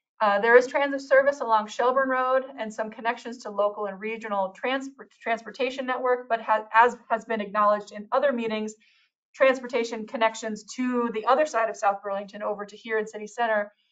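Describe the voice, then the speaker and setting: Talking at a fairly quick pace, a woman with a fairly high pitch keeps her intonation fairly even while her loudness swings widely. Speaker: city planner. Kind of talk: public meeting presentation. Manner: fast; hesitant with fillers.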